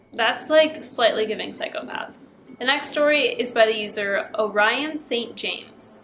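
With music in the background, a woman with high pitch speaks at a moderate pace and ordinary pitch variation. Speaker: YouTuber reading horror stories. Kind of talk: scripted horror story reading with casual commentary. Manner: casual, chatty. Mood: relaxed, playful. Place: home room.

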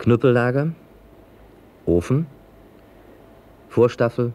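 A man speaks at a very slow pace. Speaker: narrator. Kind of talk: industrial documentary narration.

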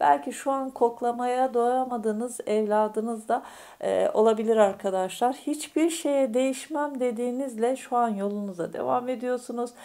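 A woman speaks at a high pitch in a dark, mellow tone, with ordinary pitch variation. Her pace is fairly slow against a quiet background. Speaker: fortune teller / astrology YouTuber. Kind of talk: fortune-telling monologue to viewers. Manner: hesitant, many filler sounds. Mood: warm, reassuring, spiritual. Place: home room. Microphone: phone near.

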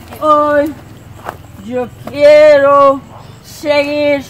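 There is light background noise behind a woman speaking at a high pitch. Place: open country.

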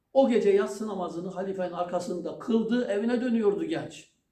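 The voice reads in an unforced way. Its pitch shifts about as much as usual.

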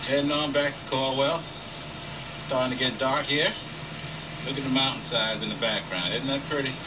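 Over noticeable background noise, a man's words come at a fairly quick clip. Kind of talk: casual home video narration. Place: open country. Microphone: old recording.

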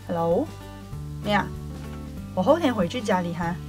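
With clear music behind her, a woman talks at a moderate pace. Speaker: radio host. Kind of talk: one-sided phone call. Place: studio. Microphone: studio mic.

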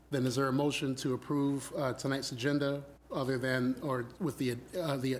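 A man talks at a fairly quick pace in a monotone, flat intonation. Light background noise can be heard. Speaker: mayor chairing council meeting. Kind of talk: formal public meeting. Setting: city council chambers. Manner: formal. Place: hall.

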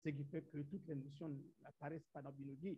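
Speaking with a Central African accent, a man uses a fairly high pitch and fairly even intonation against a quiet background. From Gabon. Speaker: science teacher. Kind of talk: conference presentation. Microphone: video call.

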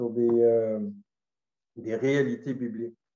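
A man in a dark, mellow tone at a very slow pace, with fairly even intonation, audible room echo, and a quiet background. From Gaspésie, Quebec; Quebec. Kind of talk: testimony. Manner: halting. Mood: calm, reflective. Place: home room. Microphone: webcam.

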